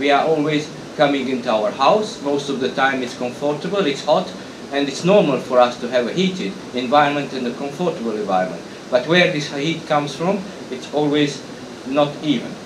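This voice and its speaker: A man with a Hungarian accent speaks at a moderate pace and a fairly high pitch, with ordinary pitch variation, audible room echo and noticeable background noise. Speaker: industry association president. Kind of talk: conference talk. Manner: halting.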